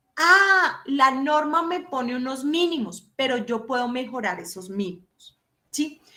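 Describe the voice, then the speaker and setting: In a raised, projected voice, a woman speaks at a fairly slow pace with high pitch and lively intonation. Her tone is animated, bright and sharp. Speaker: law professor. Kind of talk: lecture.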